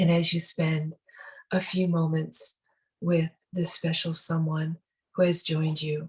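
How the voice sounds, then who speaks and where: Somewhat breathy and fairly low in pitch, a woman speaks in a calm, soothing tone at a fairly slow pace with monotone, flat intonation. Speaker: spiritual teacher, meditation guide. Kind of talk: guided meditation. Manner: calm, soothing, slow.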